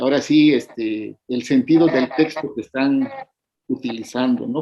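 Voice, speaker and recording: A man with an Oaxacan accent speaks at a fairly high pitch. His intonation is fairly even and his pace fairly slow. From Mexico, Oaxaca Isthmus (Zapotec region). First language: Zapotec (speaking Spanish). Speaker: poet and educator. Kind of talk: interview. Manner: halting, many fillers.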